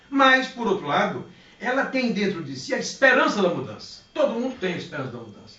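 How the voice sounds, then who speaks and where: A man talks at a fairly quick pace in a high pitch, with very wide pitch swings. Audible room echo and noticeable background noise fill the recording. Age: 60s. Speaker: politician. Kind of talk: interview. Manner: animated.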